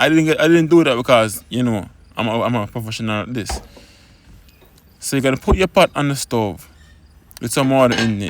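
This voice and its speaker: At a fairly quick pace, a man talks in an ordinary speaking voice at a medium pitch with ordinary pitch variation. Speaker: home cook. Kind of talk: cooking tutorial. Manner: casual.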